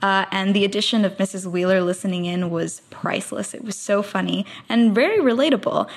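In a plain, everyday voice, a woman speaks at a fairly quick pace with hardly any pauses, using a medium pitch and ordinary pitch variation. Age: 20s. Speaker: listener sending voice feedback. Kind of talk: recorded voice message.

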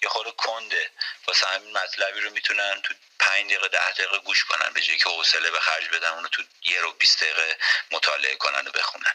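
Against noticeable background noise, a man rattles along at a very fast pace. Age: 30s. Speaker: basketball coach and architect. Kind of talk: radio interview. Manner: halting.

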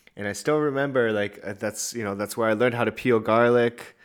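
A man's normal speaking voice at a medium pitch, with a Canadian accent and ordinary pitch variation. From Canada. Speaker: podcast co-host. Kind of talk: casual chat. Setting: video call, separate mics.

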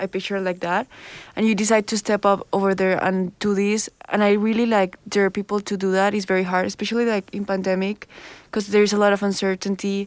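A woman with a Spanish accent talks at a fairly quick pace and medium pitch in a monotone, flat intonation. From Colombia. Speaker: student podcast host. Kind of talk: interview.

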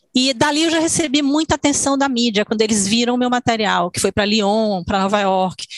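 A woman with a normal speaking voice talks at a fairly quick pace with hardly any pauses, her fairly high pitch moving in lively intonation over a dry, close sound with no echo. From Salvador, Bahia, Brazil. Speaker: dancer and choreographer. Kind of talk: interview.

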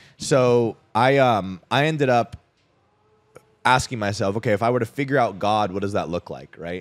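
A man with a normal speaking voice, moderate pace and ordinary pitch variation, on a very clean recording with a silent background. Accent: General American. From Arizona (Scottsdale), US. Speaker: freelance copywriter and coach. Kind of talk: casual chat. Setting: cigar lounge.

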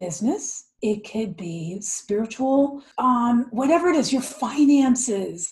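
Very wide pitch swings mark this very slow speech in an American accent. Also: woman. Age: 50s. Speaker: yoga and meditation teacher. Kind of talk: interview.

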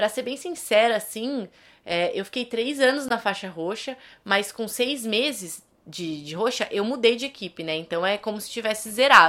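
Her bright, sharp tone and fairly high pitch come with lively intonation and big swings in loudness as this woman speaks at a moderate pace. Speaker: podcast host. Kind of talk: casual monologue.

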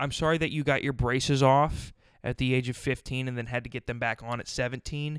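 A man with an American accent talks in an animated tone at a medium pitch with ordinary pitch variation, recorded very cleanly against a silent background. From South Dakota, US Midwest. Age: 20s. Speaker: podcast host. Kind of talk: solo comedic monologue. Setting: at home on a couch.

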